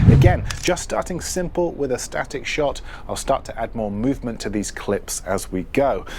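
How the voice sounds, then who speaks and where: A man speaks with a British accent at a moderate pace. Noticeable background noise runs behind him. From UK. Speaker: filmmaking tutor, content creator. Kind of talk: tutorial. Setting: outdoors, city streets.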